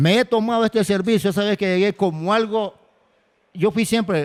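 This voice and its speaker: The pace is moderate as a man speaks. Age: 60s. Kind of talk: testimony.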